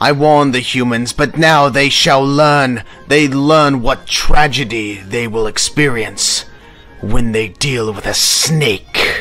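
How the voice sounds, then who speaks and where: A man's cartoonish character voice at medium pitch and a fairly slow pace, with faint music in the background. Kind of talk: animated fan film character voices.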